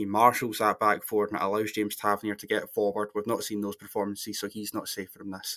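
A man with a Scottish accent speaks at a fairly quick pace and a fairly low pitch. The recording is very clean, with a silent background. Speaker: football podcast panelist. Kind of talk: casual chat.

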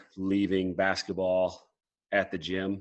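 This man has a Midwestern American accent. His voice is very deep and low. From Iowa, Mason City. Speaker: college basketball coach. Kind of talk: casual interview.

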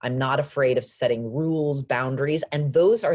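A woman with an American accent speaks at a very deep, low pitch. Her voice is somewhat breathy, and her intonation is lively. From Los Angeles, US. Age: 40s. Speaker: fashion brand founder. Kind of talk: interview.

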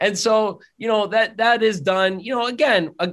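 Against a quiet background, the talking proceeds at a moderate speed. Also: man. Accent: northeastern Pennsylvania. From northeastern Pennsylvania (Drums, near Hazleton). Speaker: optometrist. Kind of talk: interview conversation.

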